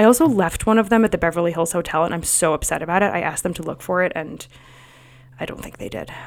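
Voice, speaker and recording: Very fast speech comes with big swings in loudness and ordinary pitch variation. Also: woman, fairly low pitch for a woman. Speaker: sleep consultant and podcast host. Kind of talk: casual solo podcast talk.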